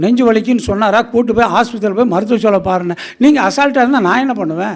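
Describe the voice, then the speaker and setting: A very clean, silent-backgrounded recording carrying lively intonation. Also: man. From Tamil Nadu, Erode area. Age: 70s. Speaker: astrologer. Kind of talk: speech at astrology gathering. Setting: stage with audience.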